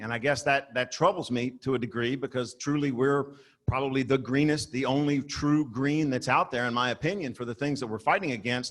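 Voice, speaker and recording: The man's voice sits at a medium pitch, moving at a fairly quick pace with fairly even intonation. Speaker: audience member at trade meeting. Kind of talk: audience question. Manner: loud; blunt, forceful.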